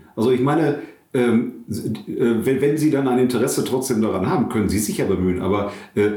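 With lively intonation, a man of medium pitch talks at a moderate pace in a room with audible echo. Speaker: pastor and podcast co-host. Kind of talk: casual chat. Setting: his own study.

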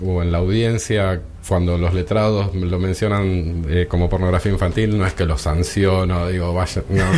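Speaking at a fairly slow pace, a man with a very deep, low voice keeps his loudness very even and his intonation fairly even against noticeable background noise. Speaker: judge. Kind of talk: radio interview.

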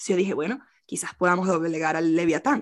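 A woman speaks very fast in a fairly low pitch, with ordinary pitch variation. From Venezuela. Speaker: poet and translator. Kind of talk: interview. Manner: halting.

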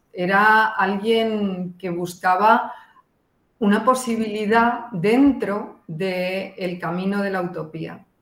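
A woman speaks very slowly at medium pitch with ordinary pitch variation. The room echo is audible. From Spain. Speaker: art historian. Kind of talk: radio interview.

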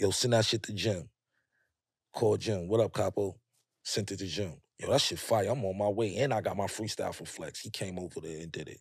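A man with a New York accent speaks at a fairly quick pace in a fairly low voice, his pitch varying in an ordinary way while his loudness swings widely. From Harlem, New York City. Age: 40s. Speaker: rapper. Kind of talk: casual chat. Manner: animated storytelling.

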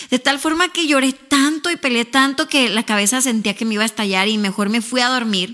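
In a Mexican accent, a woman speaks at a fairly quick pace with hardly any pauses. Her voice is high, with ordinary pitch variation. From northern Mexico, Ciudad Juárez. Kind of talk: casual interview; testimony.

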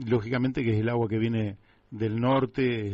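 A man with a Rioplatense accent speaks at a medium pitch with monotone, flat intonation. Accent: Argentine Spanish (rioplatense). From Buenos Aires, Argentina. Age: 60s. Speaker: radio host. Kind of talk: radio interview.

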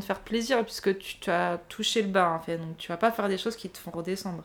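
This woman speaks very fast at a medium pitch. Her intonation stays fairly even. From southern France, Nice. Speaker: podcast guest sharing personal story. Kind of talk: personal testimony in casual chat.

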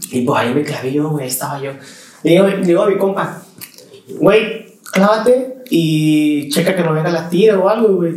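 A man talks at a fairly slow pace with lively intonation and a high pitch for a man, over noticeable background noise and audible room echo. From Mexico, Veracruz. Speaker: musician. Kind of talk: casual chat.

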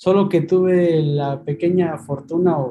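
Dark and mellow in tone, a man's high voice moves with ordinary pitch variation. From Mexico City. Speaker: email marketing copywriter. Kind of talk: interview. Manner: halting, repeats words.

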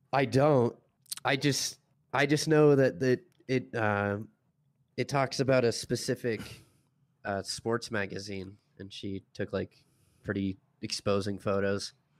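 A man speaks at a fairly slow pace, with long, frequent pauses. His pitch is medium, with ordinary pitch variation. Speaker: co-host. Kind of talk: casual livestream chat.

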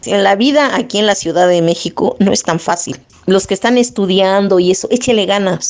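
Her loudness very even, a woman talks in an ordinary speaking voice at medium pitch, moderate pace and ordinary pitch variation. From Oaxaca, Mexico (Mixtec region), raised in Mexico City. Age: 50s. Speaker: interviewee, print shop worker. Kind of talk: testimony.

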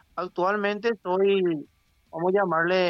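Over music in the background, a man speaks with fairly even intonation in a dry, close sound with no echo. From Paraguay. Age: 30s. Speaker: local political candidate. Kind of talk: interview. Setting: phone call.

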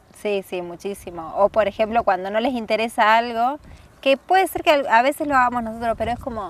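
With an ordinary speaking voice, a woman talks at a fairly quick pace with lively intonation. Her pitch is fairly high, and the sound is dry and close with no echo. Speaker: traveler. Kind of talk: casual chat. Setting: outdoors on a windy hill.

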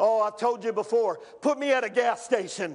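An extremely high-pitched man's voice amid noticeable background noise. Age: 50s. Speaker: pastor. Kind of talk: sermon.

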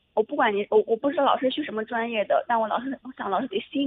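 Her pace very fast, a woman speaks at a fairly high pitch with lively intonation. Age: 20s. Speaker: caller, university student. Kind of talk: advice call-in, personal story. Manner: halting, repeats herself.

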